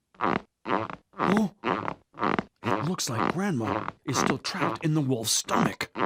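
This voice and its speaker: A man puts on a character voice at a very slow pace, medium in pitch with very wide pitch swings. His loudness stays very even, and the sound is dry and close with no echo. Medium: audio drama. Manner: earnest, protective.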